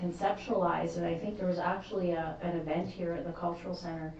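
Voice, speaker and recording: Noticeable background noise and audible room echo surround a woman speaking in a fairly low voice. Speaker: municipal staff member. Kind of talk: council meeting discussion.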